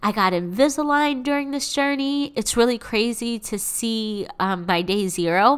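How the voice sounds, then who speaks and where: Animated and warm in tone, a woman with an American accent speaks with very wide pitch swings. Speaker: podcast host and coach. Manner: animated, hyped-up, cheerleader-like, emphatic and profane, warm sisterly tone.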